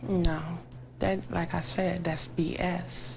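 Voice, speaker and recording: With an American accent, a woman speaks in a room with audible echo. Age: young. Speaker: trial witness. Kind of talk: tv interview.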